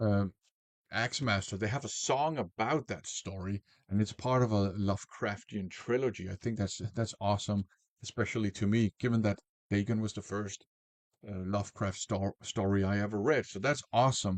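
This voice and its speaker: The speaker has a non-native accent and fairly even intonation. The pace is moderate. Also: man, fairly low pitch for a man. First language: not English. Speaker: music reviewer. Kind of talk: album review. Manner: casual with filler words.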